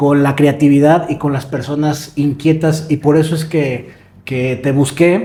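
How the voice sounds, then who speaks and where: A man talks at a fairly slow pace with a fairly high pitch. Noticeable background noise can be heard. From Mexico, Morelia. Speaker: podcast host. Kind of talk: interview.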